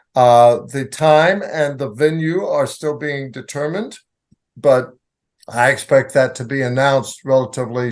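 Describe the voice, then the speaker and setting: A man with a normal speaking voice talks fairly slowly at a medium pitch with ordinary pitch variation. His loudness swings widely. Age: 60s. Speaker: bishop. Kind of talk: interview. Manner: measured, explanatory.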